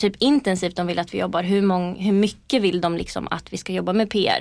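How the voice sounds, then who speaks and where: An ordinary speaking voice from a woman at a medium pitch, fairly quick in pace and fairly even in intonation, in a very clean recording with a silent background. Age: 20s. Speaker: PR agency co-founder. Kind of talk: interview. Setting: podcast studio.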